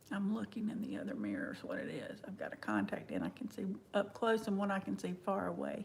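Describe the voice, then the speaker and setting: This woman talks at a very fast pace in a Southern US accent. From US South. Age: 50s. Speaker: makeup vlogger. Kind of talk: livestream makeup tutorial. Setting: live stream at home. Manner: casual, chatty.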